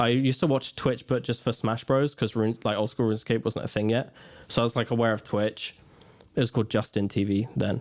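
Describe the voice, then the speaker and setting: In a very clean recording with a silent background, a man with a plain, everyday voice talks at a fairly quick pace and medium pitch, with very even loudness and fairly even intonation. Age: 20s. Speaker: gaming streamer and content creator. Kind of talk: casual chat.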